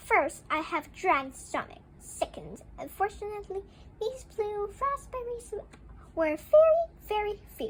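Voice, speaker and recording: A woman's squeaky, put-on character voice at an extremely high pitch and a fairly slow pace, with clear background noise. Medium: read story. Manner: cheerful, reassuring.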